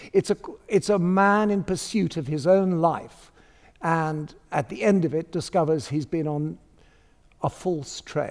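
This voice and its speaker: A man with a fairly high pitch speaks fairly slowly, with ordinary pitch variation and long, frequent pauses. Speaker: theatre director. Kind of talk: interview.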